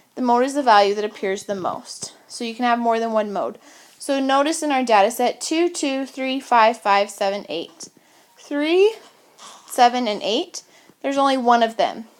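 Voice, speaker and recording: The speaker keeps a moderate pace and uses lively intonation. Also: woman, high pitch for a woman. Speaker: math teacher. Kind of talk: tutorial.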